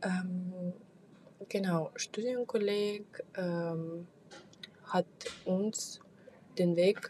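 A woman with a medium pitch speaks at a very slow pace, leaving long, frequent pauses. Noticeable background noise runs under her voice. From Kazakhstan. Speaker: podcast host. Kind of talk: solo monologue. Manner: halting, many fillers.

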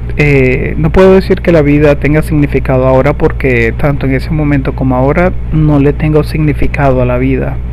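Very deep, low male speech, monotone and flat, at a fairly quick pace with hardly any pauses and very even loudness, plus audible room echo and noticeable background noise. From Venezuela. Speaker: podcaster. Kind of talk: personal monologue. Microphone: poor sound quality.

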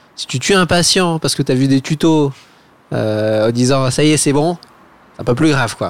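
In a dry, close recording with no echo, a man with a fairly high voice talks at a moderate pace. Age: 30s. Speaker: infectious disease doctor and researcher. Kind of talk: casual chat. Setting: at a friend's home over a beer. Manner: halting, many hesitations.

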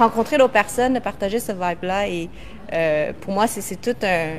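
A woman at a moderate pace with lively intonation, amid noticeable background noise. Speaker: co-host of online live show. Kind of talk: casual live-stream chat.

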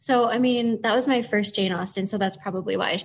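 A woman's somewhat breathy, fairly high voice with ordinary pitch variation at a moderate pace. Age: 40s. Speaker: library manager. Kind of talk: casual chat.

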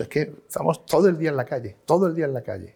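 A man speaks at a very fast pace. His voice is somewhat breathy, with a dark, mellow tone. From Málaga, Andalusia, Spain. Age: 50s. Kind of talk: interview conversation. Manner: halting, many repetitions.

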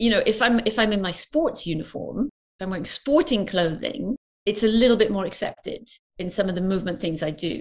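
A woman with a British accent, fairly high pitch, lively intonation and a fairly quick pace. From UK. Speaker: parkour movement coach. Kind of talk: interview.

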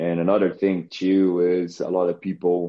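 A man's very deep, low voice in a Portuguese accent, monotone and flat in intonation. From Brazil. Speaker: strength and conditioning coach. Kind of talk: interview.

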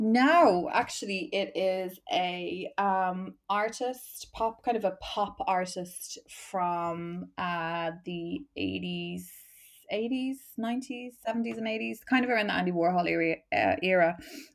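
In a Dublin accent, a woman speaks at a very slow pace with lively intonation. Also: medium pitch for a woman. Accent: Dublin Irish. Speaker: marketing manager and LGBT activist. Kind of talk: casual chat. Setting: video call.

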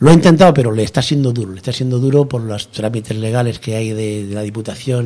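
The man's voice has a dark, mellow tone at a medium pitch. He talks at a very fast pace. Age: 60s. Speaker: cigar box guitar builder. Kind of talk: radio interview.

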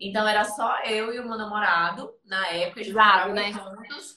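A woman speaks with a plain, everyday voice at a fairly high pitch. Her pace is fairly quick, with ordinary pitch variation. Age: 20s. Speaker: photographer and photography teacher. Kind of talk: interview on live stream.

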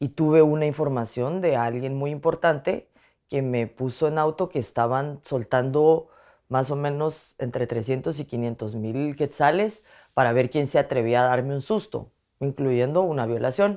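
A woman speaks at a fairly slow pace in a very deep, low voice with a dark, mellow tone and ordinary pitch variation, the recording very clean with a silent background. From Guatemala. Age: 30s. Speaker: journalist. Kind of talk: interview testimony. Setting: at her home.

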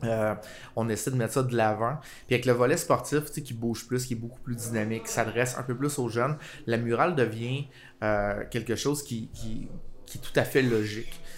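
A man speaks in a plain, everyday voice at medium pitch. His pace is moderate and his intonation fairly even. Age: 30s. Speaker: graphic designer. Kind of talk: casual chat. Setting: coffee shop.

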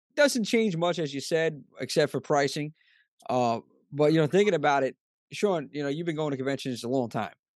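With an American accent and an ordinary speaking voice, a man talks at a fairly quick pace with ordinary pitch variation against a quiet background. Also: fairly high pitch for a man. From US Northeast. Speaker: podcast host. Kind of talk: casual interview chat.

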